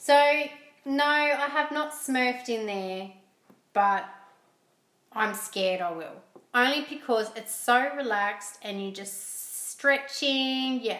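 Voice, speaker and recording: A woman with an Australian accent talks at a very slow pace, her pitch high and its variation ordinary, with long, frequent pauses. Her loudness swings widely, and room echo is audible. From Australia, Port Macquarie, New South Wales. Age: 30s. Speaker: podcast guest, host's wife. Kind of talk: casual chat. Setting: at home.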